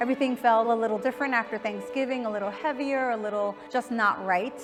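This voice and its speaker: A woman talks with a fairly high pitch. Music plays in the background. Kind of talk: interview answer.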